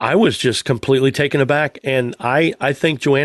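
Over a quiet background, a man talks at a medium pitch with ordinary pitch variation, the sound dry and close with no echo. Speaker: podcast host. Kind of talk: casual banter about cars. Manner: joking, animated.

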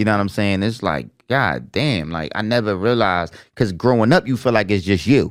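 A man with an American accent speaks at a fairly quick pace, his fairly low voice carrying vocal fry. His intonation is lively, and the recording is very clean with a silent background. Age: 40s. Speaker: podcast co-host. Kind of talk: casual chat.

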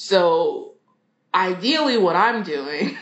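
Here is a woman with an American accent. Her pitch is medium. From Philadelphia, US. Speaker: orchestra librarian. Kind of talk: interview.

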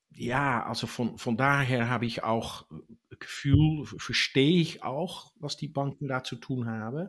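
Here a man speaks at a very slow pace with a Dutch accent. His pitch is medium, with ordinary variation. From Netherlands. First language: Dutch (speaking German). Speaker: tax expert on US citizens abroad. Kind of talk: interview. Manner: halting.

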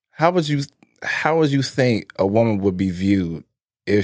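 A man speaks at medium pitch and a moderate pace. His intonation is lively. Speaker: podcast co-host. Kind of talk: casual chat.

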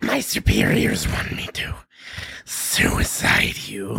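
A man puts on a character voice that is guttural, raspy and very deep, speaking at a very slow pace.

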